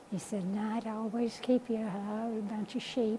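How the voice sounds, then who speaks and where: A woman speaks at a very slow pace with a fairly high pitch and an American accent. Noticeable background noise runs under her voice. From New Mexico, Lea County. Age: 80s+. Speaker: rancher. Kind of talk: oral history interview. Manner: halting.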